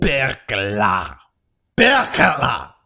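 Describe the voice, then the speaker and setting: Putting on a raspy character voice, a man speaks at a medium pitch. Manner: playful, performing.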